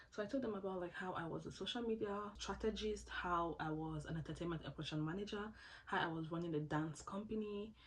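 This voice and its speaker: A very fast, somewhat breathy woman's voice, fairly low in pitch with ordinary pitch variation, in audible room echo. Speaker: scholarship applicant sharing advice. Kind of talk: casual tutorial vlog.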